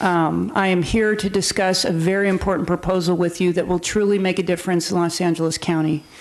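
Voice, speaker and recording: A woman speaks at a fairly quick pace and fairly low pitch with monotone, flat intonation. Her loudness stays very even and she hardly pauses. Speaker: sheriff's department lieutenant. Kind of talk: presentation to city council. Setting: council chamber on microphone.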